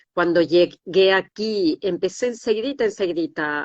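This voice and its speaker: A woman speaks in a normal speaking voice, fairly low in pitch, with ordinary pitch variation at a moderate pace. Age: 60s. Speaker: decoding therapist, former anatomy lecturer. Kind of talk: interview. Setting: livestream.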